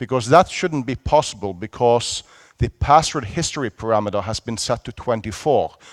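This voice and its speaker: The man talks at a moderate pace, and the sound is dry and close with no echo. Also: very clean recording, silent background. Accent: Norwegian. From Norway. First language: Norwegian. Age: 40s. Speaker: security conference speaker. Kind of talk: conference talk. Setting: stage with audience. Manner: animated.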